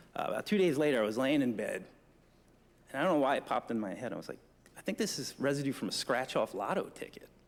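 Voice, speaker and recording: A man with a New Jersey accent, fairly high in pitch, very fast, with lively intonation. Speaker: forensic trace evidence examiner. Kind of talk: conference presentation. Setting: conference room with audience. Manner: casual, joking.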